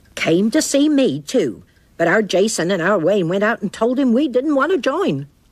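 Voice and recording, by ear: A cartoonish character voice at a fairly high pitch comes at a moderate pace in a very clean recording with a silent background.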